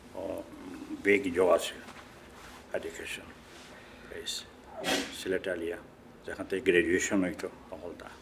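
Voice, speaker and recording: A man with a Sylheti accent and big swings in loudness. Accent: Sylheti Bengali. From Bangladesh, Sylhet. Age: 70s. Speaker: immigrant interviewee, retired worker. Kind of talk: oral history interview. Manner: halting.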